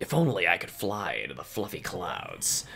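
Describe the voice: A man puts on a character voice with hissing, speaking at a moderate pace.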